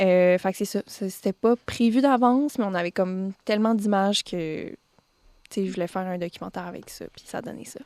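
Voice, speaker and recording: Big swings in loudness from a woman at a fairly quick pace, medium in pitch with ordinary pitch variation, in a dry, close sound with no echo. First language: Spanish (speaking French). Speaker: singer-songwriter. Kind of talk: radio interview. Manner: halting, many fillers.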